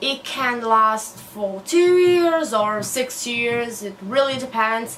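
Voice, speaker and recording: In a Portuguese accent, a high-pitched woman speaks at a very slow pace with lively intonation and audible room echo. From Brazil. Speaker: newly qualified doctor and book vlogger. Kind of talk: casual vlog monologue.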